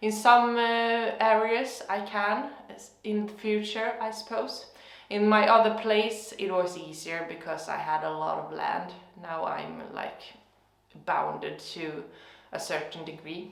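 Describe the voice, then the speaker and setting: Speaking fairly slowly in a Swedish accent, a woman with a fairly high pitch is heard with audible room echo. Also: ordinary pitch variation. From Sweden. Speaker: gardening youtuber. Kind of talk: casual vlog monologue. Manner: hesitant, many fillers.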